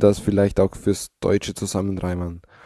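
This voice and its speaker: A man speaks at a moderate pace in a dark, mellow tone, the sound dry and close with no echo and the background quiet. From Austria, Styria. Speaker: podcaster. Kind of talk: recorded audio comment.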